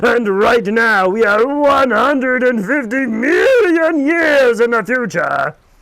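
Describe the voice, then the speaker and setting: A man's put-on character voice, extremely high-pitched, with lively intonation, very even loudness, a fairly slow pace and hardly any pauses. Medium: read story. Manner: pompous, formal.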